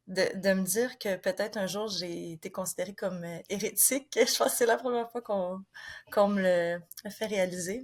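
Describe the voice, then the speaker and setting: Fairly even intonation from a woman at a medium pitch and a moderate pace. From Quebec. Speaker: author and former missionary. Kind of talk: interview. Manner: hesitant, many fillers.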